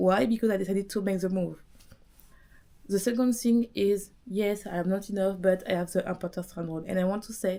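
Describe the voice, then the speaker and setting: Fairly quick delivery in a strong French accent, with ordinary pitch variation. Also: woman. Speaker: business coach podcaster. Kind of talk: motivational monologue. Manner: animated.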